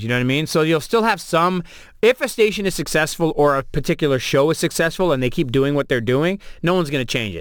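With a Toronto accent, a man speaks at a fairly high pitch. His intonation is lively. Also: very clean recording, silent background. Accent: Canadian (Toronto). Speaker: radio host and DJ. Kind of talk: casual interview chat. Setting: studio.

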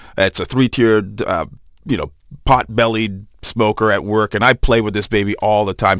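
An ordinary speaking voice moves at a fairly quick pace in a dry, close sound with no echo. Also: man. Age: 40s. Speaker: chef. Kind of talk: casual chat. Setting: studio.

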